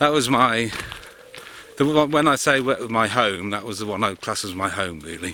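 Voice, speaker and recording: A man with a West Midlands accent talks at a moderate pace and medium pitch, his intonation lively. Noticeable background noise runs underneath. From Worcestershire, English West Midlands. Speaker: vlogger. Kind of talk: casual vlog. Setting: outdoors.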